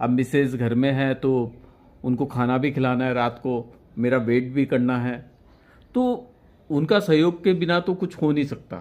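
Speaking at a fairly slow pace, a man's voice sits at medium pitch. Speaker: senior photojournalist. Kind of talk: interview. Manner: halting. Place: home room. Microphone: handheld.

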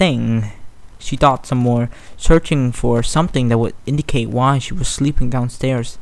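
This recording consists of plain reading aloud.

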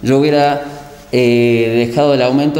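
With audible room echo around him, a man speaks with fairly even intonation. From Argentina, Los Cocos, Córdoba; Córdoba, Argentina. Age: 30s. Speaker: town councillor; local council member. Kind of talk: interview; interview answer. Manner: halting with repetitions. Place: office.

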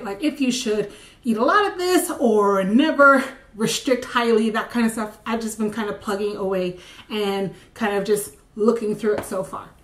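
A woman puts on a raspy character voice, fairly high in pitch, at a moderate pace. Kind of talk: casual vlog chat. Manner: talking really fast.

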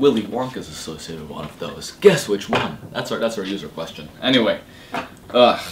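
A man talks at a medium pitch in an animated tone, with very wide pitch swings and big swings in loudness. He keeps a fairly quick pace over noticeable background noise. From Switzerland. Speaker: web show co-host. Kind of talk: casual chat. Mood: joking, playful. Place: empty room. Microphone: camera far.

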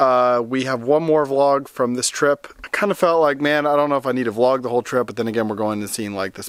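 A man speaks with ordinary pitch variation and a fairly quick pace, the background quiet. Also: dry sound with no echo. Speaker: family vlogger. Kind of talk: casual vlog chat. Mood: grateful, warm. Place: open country. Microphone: phone near.

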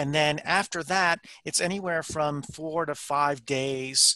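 A man speaks with fairly even intonation. The sound is dry with no echo, and the background is quiet. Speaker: remote guest. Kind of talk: interview answer. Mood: calm, explanatory. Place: office. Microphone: headset.

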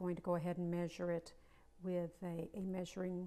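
A woman speaks at a moderate pace in a fairly low pitch. Her intonation stays flat and monotone. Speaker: home cooking host. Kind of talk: tutorial. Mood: warm, chatty. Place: kitchen.

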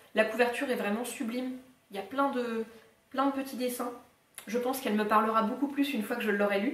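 A woman's high voice at a very fast pace, with long, frequent pauses, fairly even intonation and audible room echo. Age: 20s. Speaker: book YouTuber. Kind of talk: casual talk to camera, book haul. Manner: very relaxed, half-asleep. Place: home room. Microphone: camera far.

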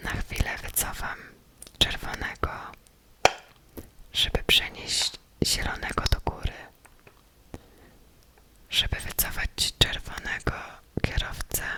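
Whispering in a calm tone, a woman speaks at a very slow pace with long, frequent pauses over noticeable background noise. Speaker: ASMR creator. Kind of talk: whispered ASMR gameplay narration. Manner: whispered, close, calm.

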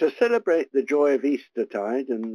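A man at medium pitch has a dark, mellow tone, recorded with a dry, close sound and no echo.

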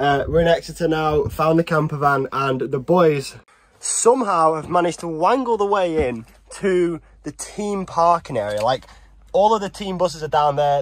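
Recorded dry with no echo, a man with a northwest English accent speaks at a moderate pace and fairly high pitch with ordinary pitch variation. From northwest England. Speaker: pro cyclist vlogger. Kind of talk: casual vlog. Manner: animated.

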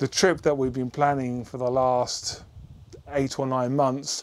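Monotone, flat delivery from a man at a fairly slow pace. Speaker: motorbike vlogger. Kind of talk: casual vlog chat. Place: garage. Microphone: lapel.

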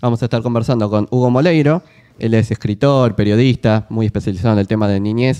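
Very fast delivery in a dark, mellow tone, with a dry, close sound and no echo. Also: man. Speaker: stream host. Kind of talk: casual chat; presenting segments.

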